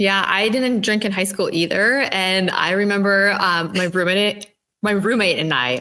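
A woman with an Upper Midwest accent speaks at a moderate pace and medium pitch, with ordinary pitch variation. Her loudness stays very even. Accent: Upper Midwest (Minnesota). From Minnesota. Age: 20s. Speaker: sober lifestyle co-founder. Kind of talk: interview testimony.

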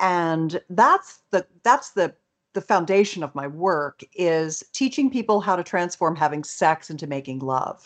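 A woman's fairly low voice at a fairly slow pace, with lively intonation. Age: 60s. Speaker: sex educator and author. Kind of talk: interview. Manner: animated.

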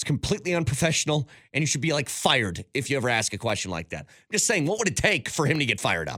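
On a very clean recording with a silent background, a man with a fairly high pitch, vocal fry and a bright, sharp tone races at a very fast pace with hardly any pauses and very wide pitch swings. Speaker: sports radio host. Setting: studio.

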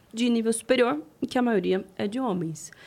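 A woman speaks at a moderate pace in a fairly high voice. Her pitch swings very widely. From interior of São Paulo state, Presidente Prudente. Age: 30s. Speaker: politician. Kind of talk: interview.

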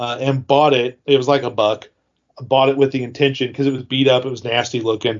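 Delivered at a very fast pace, the speech stays monotone, with flat intonation throughout. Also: man, medium pitch for a man. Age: 40s. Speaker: toy collector and retiring YouTuber. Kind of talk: casual interview.

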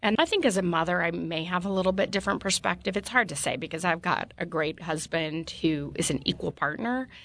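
With a plain, everyday voice, a woman at fairly low pitch talks at a fairly quick pace with hardly any pauses and ordinary pitch variation against a quiet background. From Utah. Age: 50s. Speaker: politician. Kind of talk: interview. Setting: studio.

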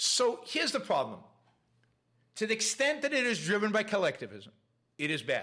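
A man speaks at a fairly quick pace with very even loudness, broken by long, frequent pauses. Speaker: podcast host. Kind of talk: casual livestream monologue. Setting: live stream with chat.

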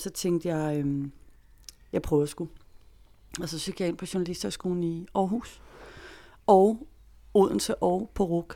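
A woman's fairly low, dark, mellow voice, fairly slow and fairly even in intonation, on a very clean recording with a silent background. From Denmark, Greve south of Copenhagen. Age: 40s. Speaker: freelance journalist. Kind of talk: interview storytelling.

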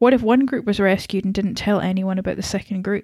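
A woman at a medium pitch, an ordinary speaking voice, fairly quick in pace, with fairly even intonation and a dry, close sound with no echo. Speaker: podcast co-host. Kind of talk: casual chat.

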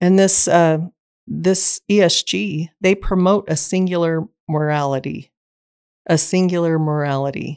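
A woman with an American accent uses an unremarkable speaking voice at a fairly low pitch, with ordinary pitch variation and a fairly slow pace. The sound is dry and close with no echo, on a very clean recording with a silent background. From Southeast Idaho, US. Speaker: state legislative candidate. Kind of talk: political interview.

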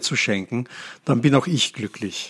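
A man talks in a plain, everyday voice at a medium pitch. His intonation is lively. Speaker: podcast host. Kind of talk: casual chat.

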